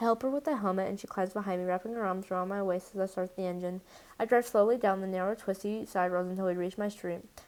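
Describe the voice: Someone engages in plain reading aloud. Their intonation is fairly even.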